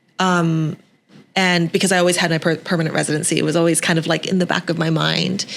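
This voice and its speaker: With a Canadian accent, a woman talks at a very fast pace in a fairly low pitch with vocal fry, monotone, flat intonation and very even loudness. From western Canada, Vancouver. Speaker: TV host and entrepreneur. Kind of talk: podcast interview.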